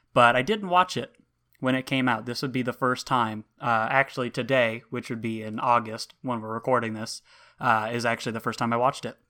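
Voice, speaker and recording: In a very clean recording with a silent background, a man talks at a fairly quick pace, his medium-pitched voice bright and sharp in tone with fairly even intonation. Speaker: podcast co-host. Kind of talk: casual chat.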